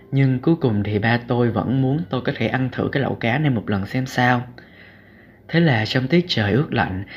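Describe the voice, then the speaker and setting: In a somewhat breathy voice, this man keeps a moderate pace and ordinary pitch variation. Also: medium pitch for a man. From southern Vietnam, Cà Mau. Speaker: podcast host, student blogger. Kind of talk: reading aloud own essay.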